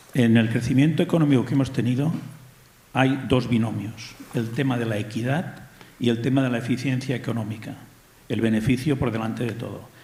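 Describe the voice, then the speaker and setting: Audible room echo surrounds a man's medium-pitched voice. He talks at a fairly quick pace with fairly even intonation. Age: 60s. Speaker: audience member asking a question. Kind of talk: audience comment at public debate.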